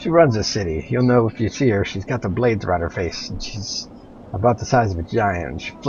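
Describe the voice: Reading aloud, plain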